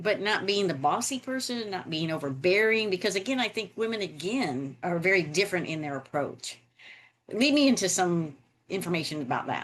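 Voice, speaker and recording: A woman speaks at a medium pitch with an American accent. Her pitch swings very widely against a quiet background. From US South, South Florida. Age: 60s. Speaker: podcast host, real estate expert. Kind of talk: podcast interview.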